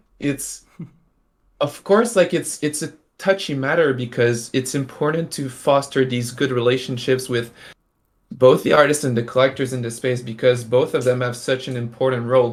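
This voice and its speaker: A man with a French accent speaks at a moderate pace and medium pitch. The recording is very clean, with a silent background. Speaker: NFT artist and stream host. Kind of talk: casual live-stream chat. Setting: live stream. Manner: halting, many fillers.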